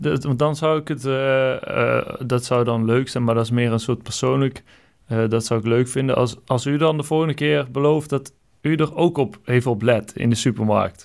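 A man's medium-pitched voice moves along at a moderate pace, its pitch varying in an ordinary way. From Brabant, Netherlands. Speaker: podcast host. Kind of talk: solo podcast monologue; casual phone call. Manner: halting.

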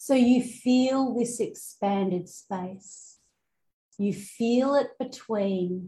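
The voice is somewhat breathy, with a dark, mellow tone that is also gentle and soothing, moving at a very slow pace with fairly even intonation. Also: woman. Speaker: spiritual coach and hypnotherapist. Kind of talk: guided meditation; promotional intro and coaching talk. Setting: outdoors in rice fields, Bali. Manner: slow, soothing, calm and hypnotic; gentle, deliberate pacing with repeated phrases.

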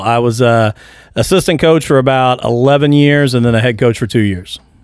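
With an American accent, a man talks at a fairly quick pace in a normal speaking voice, medium in pitch with ordinary pitch variation and very even loudness, on a very clean recording with a silent background. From Indiana, small town. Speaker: school principal. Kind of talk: casual chat. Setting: studio.

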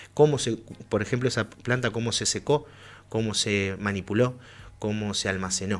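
In a plain, everyday voice, a man speaks at medium pitch and a moderate pace with ordinary pitch variation, on a very clean recording with a silent background. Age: 30s. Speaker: cannabis grower and club spokesperson. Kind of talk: radio interview. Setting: studio.

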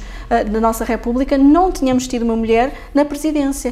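High-pitched woman at a fairly quick pace, ordinary pitch variation, noticeable background noise. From Lisbon, Portugal. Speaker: politician, parliamentary group leader. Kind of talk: interview.

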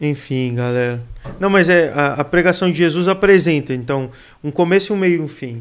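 Moderate speed and a plain, everyday voice from a man, pitched fairly high. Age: 20s. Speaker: youth pastor and seminary student. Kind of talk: casual chat.

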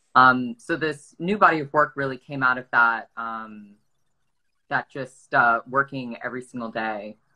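A woman's very deep, low voice with an American accent and a bright, sharp tone, at a fairly slow pace, with ordinary pitch variation and big swings in loudness. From US South, Atlanta, Georgia. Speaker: artist. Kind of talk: casual interview chat. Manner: halting, many fillers and repeats.

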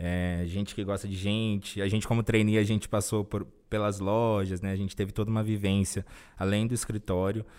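A man talks in a flat monotone at a fairly quick pace and fairly low pitch, in a very clean recording with a silent background. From interior of São Paulo state, Brazil. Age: 20s. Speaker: corporate trainee. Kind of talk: interview.

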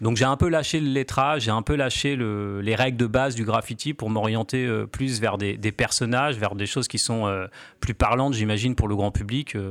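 A man speaks at a moderate pace in a normal speaking voice. His intonation stays fairly even. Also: medium pitch for a man. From Normandy, France (Cherbourg). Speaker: graffiti artist. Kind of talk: radio interview.

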